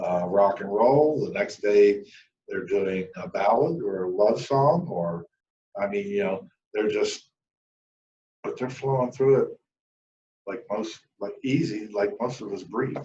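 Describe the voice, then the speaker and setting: Using very wide pitch swings, a man with a dark, mellow tone talks at a fairly slow pace broken by long, frequent pauses. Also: medium pitch for a man. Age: 60s. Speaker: country music channel host. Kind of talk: casual monologue. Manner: casual.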